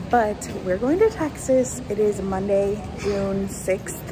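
This is a woman speaking. Music plays clearly in the background. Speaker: travel vlogger. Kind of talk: casual vlog chat. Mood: excited about the trip. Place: station. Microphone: phone near.

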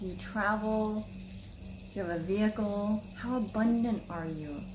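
At a moderate pace and with ordinary pitch variation, the voice comes through with clear background noise. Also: woman, medium pitch for a woman.

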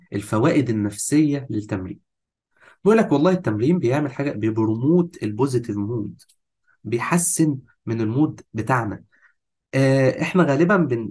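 A somewhat breathy man speaks with lively intonation in an Egyptian accent. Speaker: fitness course instructor. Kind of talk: lecture. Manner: animated.

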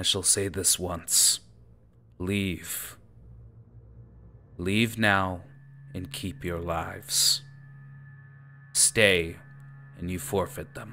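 A man puts on a character voice with a very deep, low pitch. He speaks at a very slow pace with long, frequent pauses. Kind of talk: booming villain threat. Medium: actual play. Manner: menacing, curt, commanding.

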